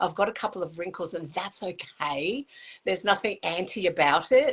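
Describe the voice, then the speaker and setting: At a moderate pace, an unremarkable speaking voice shows ordinary pitch variation. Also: woman. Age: 60s. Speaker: makeup artist and motivational speaker. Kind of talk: casual interview chat.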